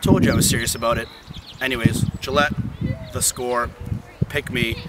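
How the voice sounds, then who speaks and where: Loud background noise surrounds a man speaking at a moderate pace, with a dry sound and no echo. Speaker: sportscaster hopeful. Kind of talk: sportscaster audition to camera. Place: open country. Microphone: camera far.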